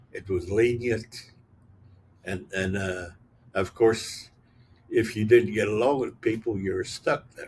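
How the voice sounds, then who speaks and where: With long, frequent pauses and big swings in loudness, a man speaks at a fairly slow pace in a somewhat breathy voice with fairly even intonation. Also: medium pitch for a man. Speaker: retired U.S. Navy chief petty officer, war veteran. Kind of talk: interview answer. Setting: outdoors, back porch with pine cones hitting tin roof.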